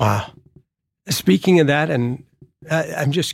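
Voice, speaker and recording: The man has an unremarkable speaking voice, a fairly high pitch and ordinary pitch variation, speaking at a moderate pace on a very clean recording with a silent background. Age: 50s. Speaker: university professor. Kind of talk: interview.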